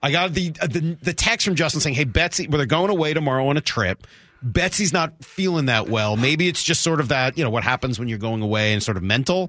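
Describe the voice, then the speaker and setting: A man with a fairly high pitch and an animated, cheerful tone, lively in intonation, fairly quick and with hardly any pauses, over noticeable background noise. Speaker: sports radio host. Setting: radio studio.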